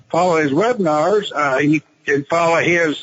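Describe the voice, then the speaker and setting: In a Texan accent, a man speaks at a fairly slow pace. His voice sits fairly high in pitch. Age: 70s. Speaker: retired businessman and options trader. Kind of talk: interview. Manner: halting, many fillers and repetitions.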